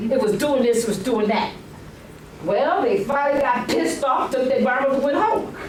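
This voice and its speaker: A woman with a high pitch speaks at a moderate pace, her pitch swinging very widely while her loudness stays very even. She takes long, frequent pauses, and the recording has audible room echo and noticeable background noise. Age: 70s. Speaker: resident speaking at public comment. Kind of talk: public comment at council meeting. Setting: council meeting room with audience. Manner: animated.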